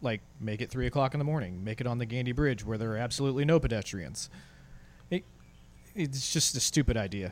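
A man talks at a very fast pace. His pitch is medium, with ordinary pitch variation. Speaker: podcast co-host. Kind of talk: casual chat.

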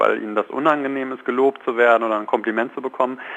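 Fairly quick, medium-pitched speech from a man over noticeable background noise. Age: 30s. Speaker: positive psychologist and coach. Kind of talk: radio phone interview. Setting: phone call.

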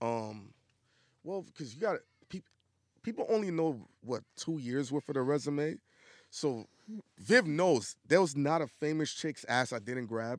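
Lively intonation in a New York accent at a fairly slow pace, with long, frequent pauses and a dry, close sound with no echo. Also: man, fairly high pitch for a man. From New York (Brooklyn). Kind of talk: casual chat.

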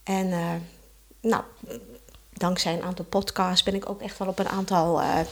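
The pace is moderate. The voice belongs to a woman. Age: 60s. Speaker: mother of four. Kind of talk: casual chat.

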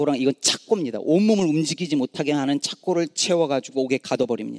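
A man with an ordinary speaking voice, pitched fairly high. The sound is dry and close with no echo, and his pitch varies in an ordinary way. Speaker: pastor. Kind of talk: sermon. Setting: church.

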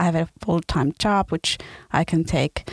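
A woman with an ordinary speaking voice, fairly low in pitch, at a moderate pace with fairly even intonation and a dry, close sound with no echo. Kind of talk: casual interview.

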